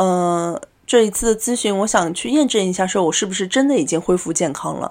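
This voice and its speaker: Her intonation lively, a woman talks at a fairly quick pace and medium pitch. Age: 30s. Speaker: podcast guest. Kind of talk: casual chat. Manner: hesitant, many fillers.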